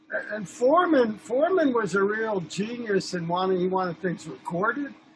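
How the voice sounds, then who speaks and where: Over noticeable background noise, a man with an American accent talks at a moderate pace in a high pitch. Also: lively intonation. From New York. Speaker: film director and photographer. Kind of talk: casual chat.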